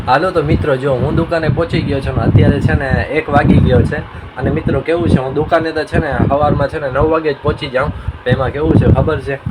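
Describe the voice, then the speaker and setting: There is noticeable background noise as a man talks in a fairly high pitch. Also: fairly even intonation. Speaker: vlogger. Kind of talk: casual vlog. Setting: outdoors on a rooftop.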